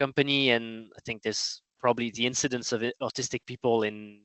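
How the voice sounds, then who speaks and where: A man with a French accent, medium pitch and monotone, flat intonation. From France. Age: 30s. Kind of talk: interview. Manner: halting.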